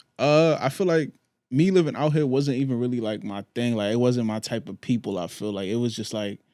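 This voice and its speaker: On a very clean recording with a silent background, a man talks at a fairly quick pace. He has a New York accent and lively intonation. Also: medium pitch for a man. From New York, Queens. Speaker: clothing brand founder. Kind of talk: podcast interview.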